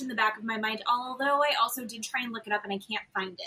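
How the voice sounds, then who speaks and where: A woman speaks in a raised, projected voice with an animated tone. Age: 40s. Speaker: podcast co-host. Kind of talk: casual chat.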